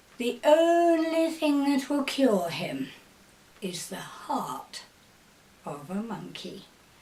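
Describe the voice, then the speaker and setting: A woman uses a put-on character voice, high-pitched, with very wide pitch swings. She talks at a very slow pace with long, frequent pauses. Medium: read story. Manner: falsely polite.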